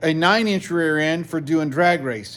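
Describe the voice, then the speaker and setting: A man talks at a fairly high pitch and a moderate pace. The recording is very clean, with a silent background. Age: 60s. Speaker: car mechanic / garage video host. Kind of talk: casual workshop vlog. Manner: animated.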